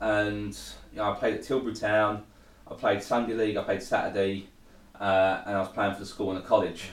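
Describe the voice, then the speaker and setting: A man speaks, and the room echo is audible. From Essex, England (Thurrock). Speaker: recovering addict sharing his story. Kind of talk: testimony.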